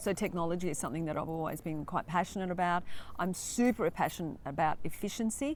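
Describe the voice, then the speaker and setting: A fairly low-pitched woman with an Australian accent, at a very fast pace with ordinary pitch variation, on a very clean recording with a silent background. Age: 60s. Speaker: real estate agent. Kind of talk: interview.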